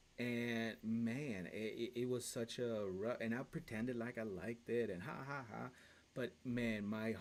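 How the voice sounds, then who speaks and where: This man talks at a very slow pace. His pitch is medium and his intonation fairly even. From Latin America, mountain village by a lake and active volcanoes. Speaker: podcast host. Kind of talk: casual chat. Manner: halting, many fillers and restarts.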